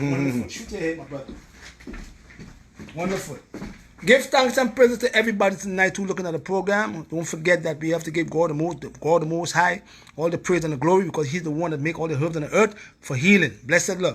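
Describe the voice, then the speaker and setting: With a strong Caribbean accent, a man speaks very fast in a high voice with lively intonation, broken by long, frequent pauses. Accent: heavy Caribbean. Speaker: herbalist. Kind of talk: live stream talk.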